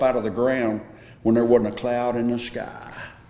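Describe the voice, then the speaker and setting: Someone with a Tennessee accent talks at a moderate pace. Noticeable background noise and audible room echo fill the recording. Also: man. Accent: Southern US (Tennessee). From Smyrna, Tennessee. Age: 70s. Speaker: local resident sharing memories. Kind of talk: oral history group conversation.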